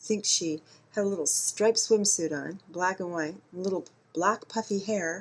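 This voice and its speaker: A woman's plain, everyday voice at a medium pitch, with ordinary pitch variation. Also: moderate pace. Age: 50s. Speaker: vlogger. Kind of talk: video monologue. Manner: conversational.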